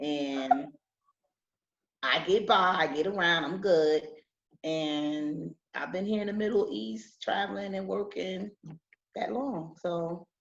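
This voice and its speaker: A woman with a New Jersey accent speaks at a very slow pace in a fairly low voice, her intonation lively and her speech broken by long, frequent pauses. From Newark, New Jersey. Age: 40s. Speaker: English teacher. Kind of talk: interview.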